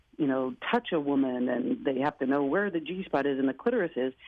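A woman with an American accent talks at a fairly quick pace, her pitch swinging very widely. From US Pacific Northwest, Portland. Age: 40s. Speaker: playwright and performer. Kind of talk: interview. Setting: studio.

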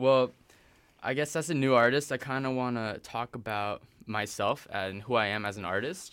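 Speaking in a normal speaking voice with an American accent, a man uses a medium pitch, ordinary pitch variation, and a moderate pace. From Texas (Austin), then China and Hong Kong. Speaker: rapper. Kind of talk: casual interview.

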